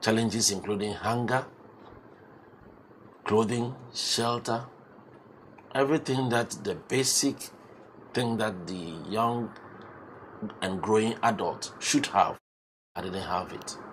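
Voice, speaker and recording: A man speaks at a very slow pace in a medium pitch, with long, frequent pauses. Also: ordinary pitch variation. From Ghana, Eastern Region. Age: 60s. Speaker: entrepreneur and pharmacist. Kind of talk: interview.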